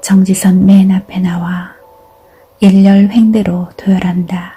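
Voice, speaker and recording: Over noticeable background noise, a woman speaks very slowly at a medium pitch, her intonation monotone and flat. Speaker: reader of essays and poems. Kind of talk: literary essay reading, calm narration.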